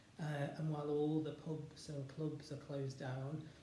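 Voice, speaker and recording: Against noticeable background noise, a man speaks at a moderate pace in a fairly high pitch with monotone, flat intonation. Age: 40s. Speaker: spoken word performer. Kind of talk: casual talk to camera.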